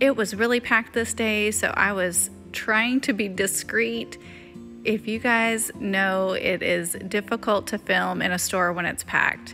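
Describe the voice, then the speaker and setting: Music plays in the background as a woman speaks at a fairly slow pace with lively intonation. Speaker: lifestyle vlogger. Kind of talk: casual vlog narration.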